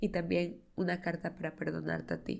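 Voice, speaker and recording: Here a woman speaks with a fairly low pitch. Her voice carries vocal fry. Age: 20s. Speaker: podcast host. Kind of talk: solo podcast monologue. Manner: casual, chatty.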